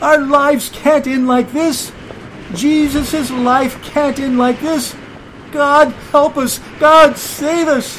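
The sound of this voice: In a put-on character voice with an extremely high pitch, a man talks at a slow pace with a fairly bright tone and fairly even intonation over faint background noise.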